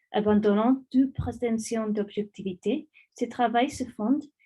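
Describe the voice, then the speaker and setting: Somewhat breathy, a woman with a non-native accent speaks at a fairly high pitch and a fairly slow pace. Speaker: academic researcher. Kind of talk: lecture; reading aloud. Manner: halting, many hesitations.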